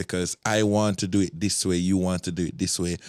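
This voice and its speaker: In a Jamaican accent, the speaker talks at a moderate pace, the sound dry and close with no echo. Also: man, very clean recording, silent background. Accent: Jamaican English with patois. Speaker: soca event promoter and DJ. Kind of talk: casual podcast conversation.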